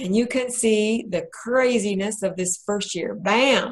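Her pitch is fairly high and her voice somewhat breathy. The woman speaks at a very slow pace. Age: 60s. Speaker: bariatric patient and author presenting a webinar. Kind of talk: presentation to a group.

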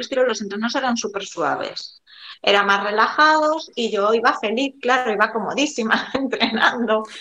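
A woman's high-pitched voice with a Galician accent, ordinary pitch variation and noticeable background noise. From Galicia, A Coruña. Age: 40s. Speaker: amateur runner. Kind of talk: interview.

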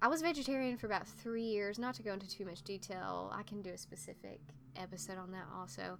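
Speaking very fast, a woman uses lively intonation at a medium pitch. She has an Appalachian accent. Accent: Southern US Appalachian. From US South, eastern Tennessee (Appalachia). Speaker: podcast host, writer and occultist. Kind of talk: casual monologue. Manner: halting, with filler words.

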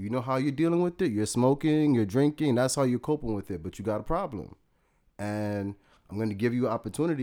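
Against a silent background on a very clean recording, a man with a New York accent talks at a fairly quick pace in a dark, mellow tone with ordinary pitch variation. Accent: New York City. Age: 30s. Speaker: entrepreneur and mental health advocate. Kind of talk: casual interview chat.

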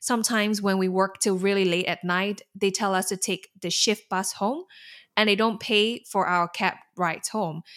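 A woman talks in a Singaporean accent with fairly even intonation. The recording is very clean, and the background is silent. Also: medium pitch for a woman, moderate pace. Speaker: alumna, learning and development specialist. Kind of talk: interview, casual and conversational.

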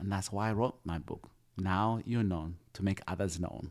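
In a very clean recording with a silent background, a man talks at a moderate pace with a very deep, low pitch and ordinary pitch variation. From Uganda. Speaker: foster dad and author. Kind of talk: interview. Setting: home kitchen.

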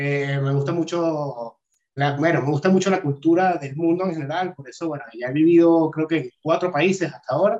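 A man with a plain, everyday voice, fairly high in pitch, with ordinary pitch variation at a moderate pace. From Venezuela, Caracas. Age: 40s. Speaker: crypto analyst and videographer. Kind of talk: interview.

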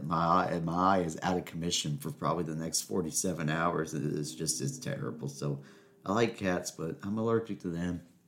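A man's animated tone with lively intonation at a moderate pace. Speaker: podcast host. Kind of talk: casual solo monologue. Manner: rambling, animated.

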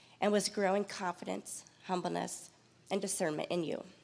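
Vocal fry marks this woman's voice, which has ordinary pitch variation. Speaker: church mentor. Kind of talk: personal tribute. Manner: reading prepared text.

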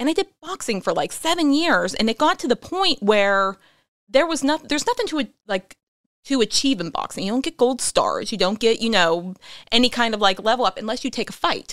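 Speaking at a fairly quick pace, a woman with a Pittsburgh accent uses a high pitch and very wide pitch swings. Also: dry, close sound with no echo. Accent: Pittsburgh (western Pennsylvania). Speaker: author and actress. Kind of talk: casual chat.

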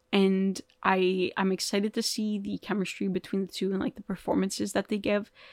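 A woman speaks at a moderate pace and medium pitch with a Canadian accent, the sound dry and close with no echo, on a very clean recording with a silent background. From Canada, Toronto. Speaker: film podcast host. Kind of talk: solo casual commentary. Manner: casual, filler-heavy.

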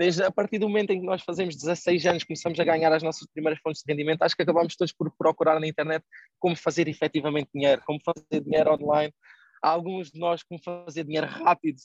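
This man talks at a very fast pace in a monotone, flat intonation with a fairly high pitch. The sound is dry and close, with no echo. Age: 20s. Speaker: online entrepreneur and investment educator. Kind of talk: casual interview.

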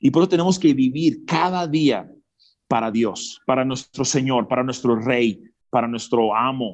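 Ordinary pitch variation and a fairly slow pace from a male speaker. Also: medium pitch for a man. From Mexico, Zacatecas (born in US, raised partly in Peru). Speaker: motivational speaker. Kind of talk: interview testimony. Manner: animated.

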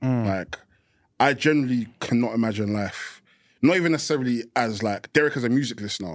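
Man speaking at a very fast pace with ordinary pitch variation, on a very clean recording with a silent background. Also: medium pitch for a man. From Essex, England. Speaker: rapper. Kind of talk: casual chat.

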